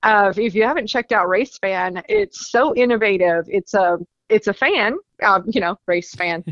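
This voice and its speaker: With a Southern US accent, a woman talks at a moderate pace with ordinary pitch variation. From US South, Rutherfordton, North Carolina. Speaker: racing trade show organizer. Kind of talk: promotional interview.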